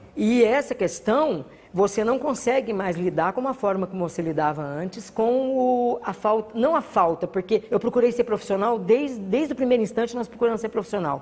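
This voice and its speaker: The woman's intonation is lively, with noticeable background noise present. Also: fairly high pitch for a woman, moderate pace, hardly any pauses. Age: 60s. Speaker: carnival group founder and cultural producer. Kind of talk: interview monologue.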